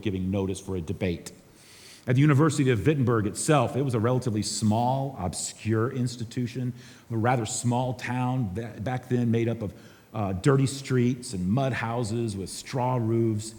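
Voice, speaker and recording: A man's medium-pitched voice, fairly quick in pace, with ordinary pitch variation and audible room echo. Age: 60s. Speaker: pastor. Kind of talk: conference talk.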